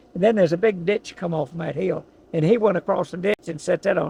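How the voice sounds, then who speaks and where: With an Appalachian accent, a man talks at a fairly quick pace in a high pitch. His pitch variation is ordinary, and the sound is dry and close with no echo. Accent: Southern American (Appalachian). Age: 80s+. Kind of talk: storytelling, family history recollection. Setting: in a car, outdoors.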